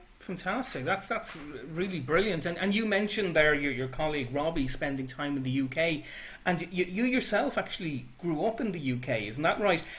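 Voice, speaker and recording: Fairly quick and lively in intonation, a man with a Dublin accent speaks at a fairly high pitch. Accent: Irish (Dublin). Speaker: librarian interviewer. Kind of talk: interview.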